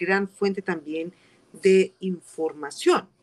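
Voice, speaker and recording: Speaking at a very slow pace, the woman has a medium pitch. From Colombia, coffee region (Armenia, Quindío). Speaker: community legal and social services advisor. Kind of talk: interview. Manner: halting, many fillers.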